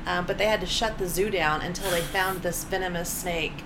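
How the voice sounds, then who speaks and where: A woman with an American accent talks fairly quickly at a medium pitch with ordinary pitch variation, amid noticeable background noise and audible room echo. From Oklahoma (Bartlesville). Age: 40s. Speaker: stand-up comedian. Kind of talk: casual chat. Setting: apartment, in person.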